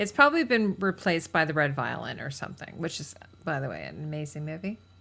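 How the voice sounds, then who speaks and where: A woman speaks very fast in a very deep, low voice with vocal fry and a bright, sharp tone. Her loudness swings widely while her pitch varies in an ordinary way. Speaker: costume channel host. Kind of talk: casual chat. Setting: livestream.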